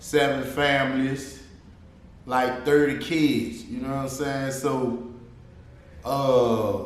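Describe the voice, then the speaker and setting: Speaking with an American accent at a very slow pace, a man keeps a medium pitch and a monotone, flat intonation, with long, frequent pauses, audible room echo, and noticeable background noise. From New Orleans, Louisiana (US South). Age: 30s. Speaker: rapper and actor. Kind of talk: casual interview.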